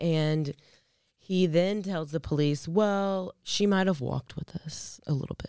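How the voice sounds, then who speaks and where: A woman speaks at a fairly slow pace in a fairly low pitch with ordinary pitch variation, her tone dark and mellow, the sound dry and close with no echo. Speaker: true crime podcast co-host. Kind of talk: casual chat. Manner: quieter than usual; lower, sultry sick voice.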